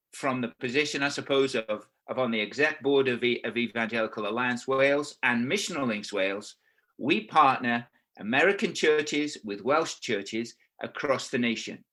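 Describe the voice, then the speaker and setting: With an English accent and a bright, sharp tone, a man talks at a moderate pace. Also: medium pitch for a man, ordinary pitch variation. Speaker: pastor and missionary. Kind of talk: sermon. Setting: video call.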